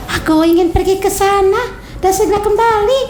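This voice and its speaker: A woman uses a squeaky, put-on character voice at a moderate pace, with clear background noise behind her. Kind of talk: bedtime story. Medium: read story.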